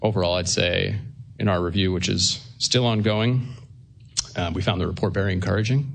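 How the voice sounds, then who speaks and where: Audible room echo surrounds a man talking very fast with a fairly low pitch and fairly even intonation. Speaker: government attorney. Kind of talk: court hearing statement. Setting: courtroom at lectern. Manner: soft-spoken.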